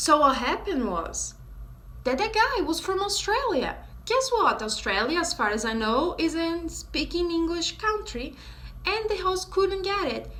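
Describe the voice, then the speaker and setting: In a Brazilian accent, the speaker uses a bright, sharp tone with very wide pitch swings at a fairly slow pace, with audible room echo. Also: woman, extremely high pitch for a woman. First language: Portuguese. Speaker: vlogger teaching English. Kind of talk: casual vlog talk to camera.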